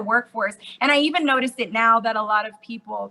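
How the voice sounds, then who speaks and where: A woman speaks at a very fast pace with an American accent. Her voice is raised and projected. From Okinawa, Japan (US military base community). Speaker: podcast guest. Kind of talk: casual chat.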